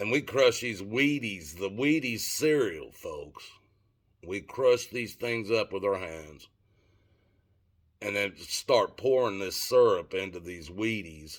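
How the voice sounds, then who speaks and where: In a Southern US accent, a man speaks very slowly at a medium pitch with lively intonation. The recording is very clean, with a silent background. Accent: Southern US accent, noticeable. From Tennessee. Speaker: vlogger. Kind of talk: casual storytelling monologue. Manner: halting, with fillers.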